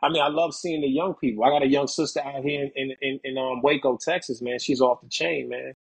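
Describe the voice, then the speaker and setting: Here a man is speaking at a fairly quick pace. His intonation stays fairly even. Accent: New York. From New York City, the Bronx. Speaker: author and poet; poet. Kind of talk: interview. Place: home room. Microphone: video call.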